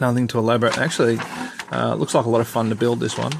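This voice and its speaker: In an Australian accent, a man talks at a medium pitch. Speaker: scale model hobbyist reviewer. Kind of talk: unboxing review. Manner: casual, hesitant with many fillers.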